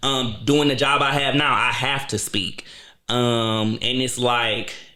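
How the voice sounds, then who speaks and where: Room echo can be heard as a man speaks. He talks very slowly at a medium pitch. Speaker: podcaster and YouTube show host. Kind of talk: casual chat. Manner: animated.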